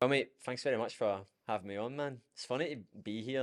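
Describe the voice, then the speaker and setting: A man with a Scottish accent at a fairly quick pace, with ordinary pitch variation. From Scotland. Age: 20s. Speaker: fitness coach. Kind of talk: podcast interview. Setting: studio. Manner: animated.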